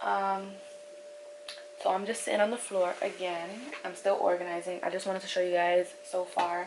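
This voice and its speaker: A woman at a medium pitch, monotone and flat, at a moderate pace with long, frequent pauses, over noticeable background noise. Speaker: beauty and lifestyle vlogger. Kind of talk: casual vlog talk. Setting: at home, sitting on the floor.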